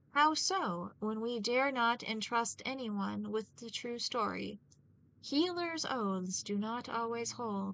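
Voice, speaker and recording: In a put-on character voice, a female-sounding speaker talks at a fairly slow pace with a fairly high pitch. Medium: read story.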